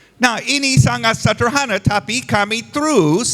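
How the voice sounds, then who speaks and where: With a non-native accent, the speaker talks at a very slow pace using very wide pitch swings. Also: man. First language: not Indonesian (speaking Indonesian). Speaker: visiting pastor. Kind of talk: sermon. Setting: church service. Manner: halting, simple phrasing.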